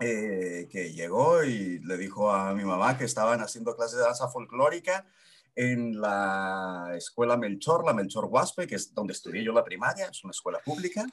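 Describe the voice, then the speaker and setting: A plain, everyday voice talks at a moderate pace with lively intonation. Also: man, medium pitch for a man. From Mexico, Chihuahua city. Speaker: physical theatre actor. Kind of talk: podcast interview.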